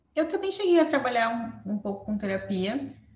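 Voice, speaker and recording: A woman speaks with audible room echo. Noticeable background noise sits behind her. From Brazil, São Paulo. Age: 20s. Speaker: psychologist. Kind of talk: casual interview.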